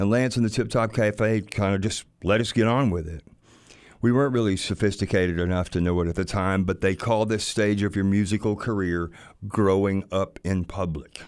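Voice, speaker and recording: In a very clean recording with a silent background, a man with a Southern US accent speaks at a moderate pace in a fairly low pitch with fairly even intonation. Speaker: music producer and musician. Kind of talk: storytelling.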